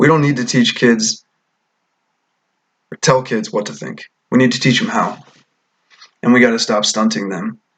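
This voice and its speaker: The voice has vocal fry and ordinary pitch variation, moving at a moderate pace with long, frequent pauses. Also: man, medium pitch for a man. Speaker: vlogger giving opinions. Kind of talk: monologue rant.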